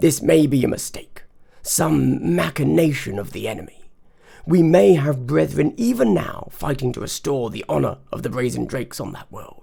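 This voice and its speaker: A man speaks in a put-on character voice at medium pitch. His pace is moderate, and his loudness swings widely. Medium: read story. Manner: guarded, measured.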